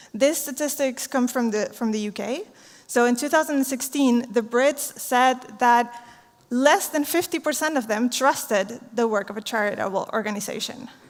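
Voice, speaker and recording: At a moderate pace, a woman with a Spanish accent speaks in a high pitch. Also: ordinary pitch variation. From Chile. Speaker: social entrepreneur. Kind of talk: conference talk.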